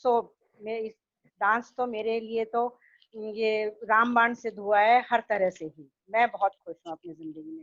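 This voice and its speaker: A woman with an ordinary speaking voice talks at a fairly high pitch, with big swings in loudness. The sound is dry and close, with no echo. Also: ordinary pitch variation. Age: 60s. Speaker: dance student. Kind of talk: testimony.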